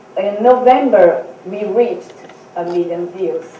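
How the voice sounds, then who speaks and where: Audible room echo and noticeable background noise surround a woman speaking at medium pitch. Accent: Portuguese. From Brazil. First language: Portuguese. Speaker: author and speaker. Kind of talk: seminar talk. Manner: halting.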